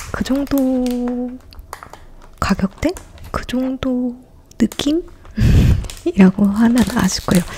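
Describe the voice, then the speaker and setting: Delivered very slowly with long, frequent pauses, the speech has noticeable background noise behind it. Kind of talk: ASMR eating and casual chat. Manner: soft-spoken, less whispered.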